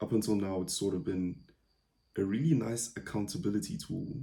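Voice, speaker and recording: This man has a soft-spoken, dark and mellow voice with fairly low pitch. He leaves long, frequent pauses. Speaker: podcaster, data science company founder. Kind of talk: casual solo podcast. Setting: at home late at night during power outage. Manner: quiet, soft-spoken; hesitant, many fillers.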